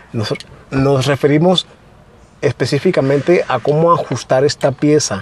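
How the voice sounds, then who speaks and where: A man's ordinary speaking voice, an ordinary speaking voice at a fairly high pitch, moderate pace and ordinary pitch variation, dry with no echo. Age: 20s. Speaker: DIY car vlogger. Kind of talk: tutorial; casual chat. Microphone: lapel.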